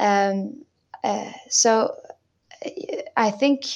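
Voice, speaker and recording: A woman speaks with a French accent. Her voice is fairly high. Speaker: singer and violinist. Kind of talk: interview.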